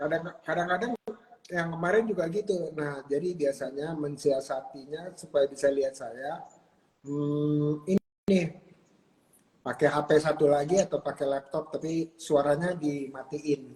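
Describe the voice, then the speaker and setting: At a fairly slow pace, a man talks with a somewhat breathy voice and fairly even intonation. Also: fairly high pitch for a man. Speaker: talk show host. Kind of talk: casual chat.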